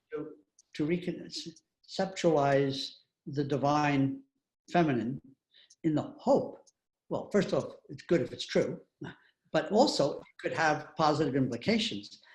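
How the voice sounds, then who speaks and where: A man's somewhat breathy, fairly high voice at a fairly slow pace, with long, frequent pauses. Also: ordinary pitch variation. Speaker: author and retired university president. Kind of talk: interview answering audience questions.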